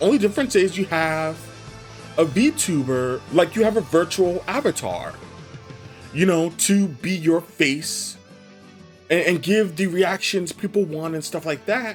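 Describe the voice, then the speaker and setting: Music plays in the background as the speech moves at a fairly slow pace with long, frequent pauses. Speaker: gaming YouTuber. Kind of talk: casual talk to audience. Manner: casual, rambling.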